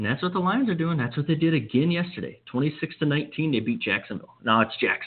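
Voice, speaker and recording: Talking at a very fast pace with hardly any pauses, a man with an American accent uses a fairly high pitch and very wide pitch swings. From Wisconsin, US Midwest. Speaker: sports radio host. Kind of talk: sports talk radio monologue.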